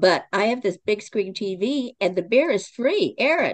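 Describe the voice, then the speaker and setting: A woman speaks with an American accent. Her pitch swings very widely. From Oklahoma. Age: 70s. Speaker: author and playwright. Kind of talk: interview.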